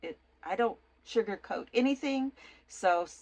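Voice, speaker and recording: A woman's voice with very wide pitch swings. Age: 60s. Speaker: author and mother of a child with schizophrenia. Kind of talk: personal testimony to camera. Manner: halting, many fillers and repeated words.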